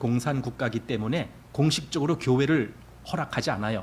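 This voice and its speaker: A man's somewhat breathy voice sits at a medium pitch, moving at a fairly quick pace with ordinary pitch variation. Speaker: pastor. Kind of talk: sermon. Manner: conversational.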